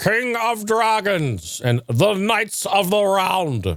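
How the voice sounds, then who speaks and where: Someone puts on a character voice at a middle pitch. The delivery is very slow. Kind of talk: grand, formal, archaic.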